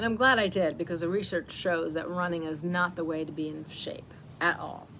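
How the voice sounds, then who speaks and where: There is noticeable background noise behind a woman with a fairly low pitch. Her intonation is fairly even and her pace moderate. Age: 60s. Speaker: wellness teacher. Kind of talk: casual talk during live self-care session. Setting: livestream at home. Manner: halting, many fillers.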